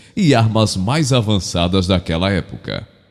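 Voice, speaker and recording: Music in the background behind a man with a fairly low pitch, a fairly slow pace, and lively intonation. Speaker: professional voice-over narrator. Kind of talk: documentary-style narration.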